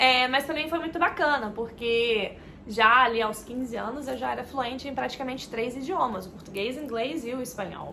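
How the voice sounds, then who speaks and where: In a room with audible echo, a woman speaks fairly quickly at a high pitch, her voice swinging very widely up and down. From Minas Gerais, Brazil and Florida, USA. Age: 20s. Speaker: travel vlogger. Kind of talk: casual personal introduction vlog. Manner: hesitant, many filler words.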